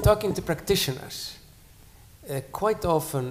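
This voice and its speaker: A man's somewhat breathy voice with lively intonation at a moderate pace. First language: not English (third language). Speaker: academic panelist. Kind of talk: panel discussion. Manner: halting, many repetitions.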